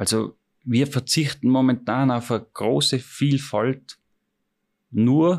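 Over a very clean recording with a silent background, a man speaks at a medium pitch with vocal fry and ordinary pitch variation. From Austria, Tyrol. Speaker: chef. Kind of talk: interview. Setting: restaurant.

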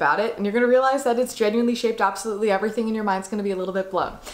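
Over noticeable background noise, a woman talks in an upbeat, excited tone. Her pitch is fairly high, with ordinary variation. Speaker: actor. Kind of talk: casual talk to camera.

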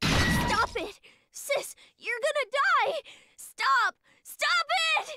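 Shouting in a put-on character voice, a woman reaches an extremely high pitch with lively intonation. She moves at a very slow pace, with long, frequent pauses. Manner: desperate, screaming plea.

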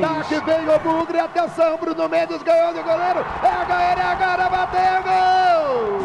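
At a moderate pace, a man speaks with extremely high pitch and fairly even intonation. Noticeable background noise runs underneath. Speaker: radio sports announcer. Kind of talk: live radio football commentary.

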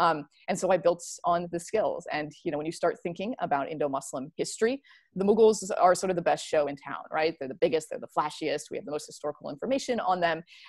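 With an American accent, a woman talks at a very fast pace and lively intonation. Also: fairly low pitch for a woman, big swings in loudness. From US Midwest. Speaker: historian and author. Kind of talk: academic discussion. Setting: video call.

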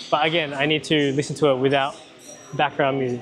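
A man at a fairly quick pace with fairly even intonation, music in the background. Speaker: personal trainer. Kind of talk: coaching instructions. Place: gym. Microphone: lapel.

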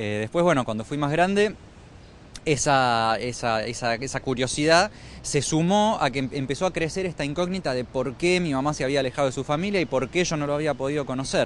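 At a fairly quick pace, a man with a fairly high pitch speaks in a dry sound with no echo, with light background noise present. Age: 30s. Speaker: documentary filmmaker. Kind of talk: interview. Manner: halting. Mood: calm, reflective. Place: street. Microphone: handheld.

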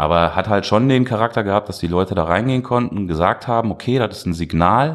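A man speaks in a plain, everyday voice, fairly low and fairly quick, with lively intonation. The recording is very clean, with a silent background. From Duisburg, Ruhr area, Germany. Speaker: artist and art festival organizer. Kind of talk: casual interview.

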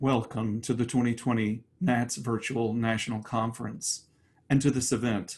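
This man talks at a moderate pace with fairly even intonation. His loudness stays very even throughout. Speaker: executive director of a singing teachers' association. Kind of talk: award ceremony host introduction. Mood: warm, ceremonial. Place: home room. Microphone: webcam.

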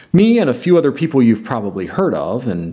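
Medium in pitch and dark, mellow in tone, a man's voice moves at a fairly quick pace with vocal fry and very wide pitch swings. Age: 40s. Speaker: board game vlogger. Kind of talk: casual vlog monologue. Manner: put-on, theatrical delivery. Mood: playful, teasing announcement. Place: home room.

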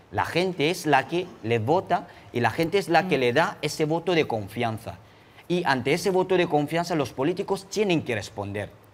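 Vocal fry colors a man's fairly high voice as he talks at a moderate pace with lively intonation. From Cameroon. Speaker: human rights activist; guest. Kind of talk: interview testimony. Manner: frequent hesitations (eh). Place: studio. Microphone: lapel.

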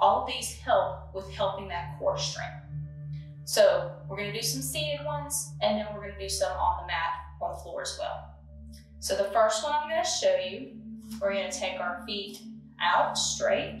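Over clear music in the background, a woman talks at a moderate pace with big swings in loudness and audible room echo. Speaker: fitness instructor. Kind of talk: tutorial. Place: home room. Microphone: camera far.

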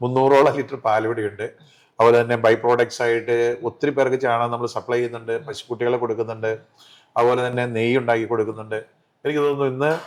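A man's medium-pitched voice in monotone, flat intonation, on a very clean recording with a silent background. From Kerala, Thodupuzha (Idukki), raised also in Palakkad. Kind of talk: interview. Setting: college hall.

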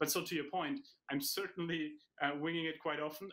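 A bright, sharp tone at a fairly quick pace. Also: man. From Germany. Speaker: professor and author; professor. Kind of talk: interview. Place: home room. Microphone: webcam.

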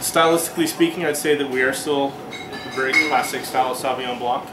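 The speech keeps a moderate speed, with clear music playing underneath. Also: man. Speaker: winery sales manager. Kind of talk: product presentation. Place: shop.

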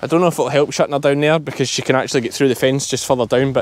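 A man talks very fast in a strong Scottish accent. The sound is dry, with no echo. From Ayrshire, South West Scotland. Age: 30s. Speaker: sheep farmer. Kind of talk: vlog narration. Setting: outdoors. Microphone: phone near.

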